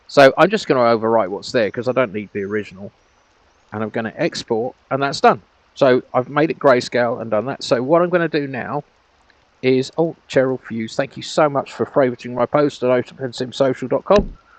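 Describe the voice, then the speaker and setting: A man talks at a fairly quick pace with a medium pitch, ordinary pitch variation, and a dry, close sound with no echo. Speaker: virtual world grid owner and tutorial maker. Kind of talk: screen-recorded tutorial. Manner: fast; casual, hesitant with fillers.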